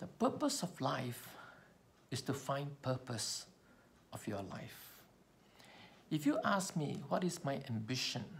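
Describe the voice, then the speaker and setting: A somewhat breathy man's voice, fairly high in pitch, very slow in pace, with long, frequent pauses. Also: lively intonation. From Malaysia. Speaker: public speaking trainer. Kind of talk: personal storytelling speech. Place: home room. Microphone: phone near.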